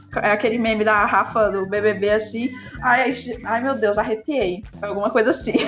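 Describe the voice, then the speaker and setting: Over noticeable background noise, a woman with a fairly high pitch speaks in an animated tone at a moderate pace. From Brazil. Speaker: 3D artist. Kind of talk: casual chat. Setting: remote call.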